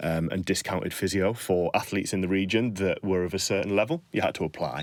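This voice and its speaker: A man's very deep, low voice with a northern English accent, at a very fast pace. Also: ordinary pitch variation, very clean recording, silent background. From northern England. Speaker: strength and conditioning coach. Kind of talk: podcast interview. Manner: conversational, hesitant fillers.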